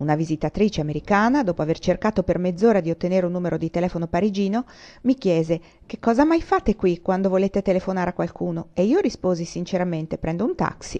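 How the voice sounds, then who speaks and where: A woman's medium-pitched voice, dark and mellow in tone, with ordinary pitch variation, at a very fast pace, in a dry, close sound with no echo against a quiet background. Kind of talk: audiobook reading of a historical socio-economic treatise. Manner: measured, formal, even-paced literary narration.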